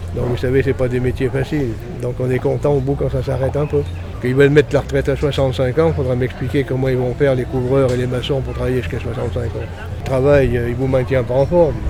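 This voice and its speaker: Noticeable background noise and audible room echo accompany a man speaking at a fairly quick pace with a medium pitch. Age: 60s. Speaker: construction worker. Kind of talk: street interview.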